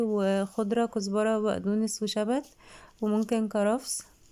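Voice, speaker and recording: A woman's fairly high voice, dark and mellow in tone, at a fairly slow pace with flat, monotone intonation. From Egypt, Alexandria. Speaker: cooking channel host. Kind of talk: cooking tutorial. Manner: casual, chatty.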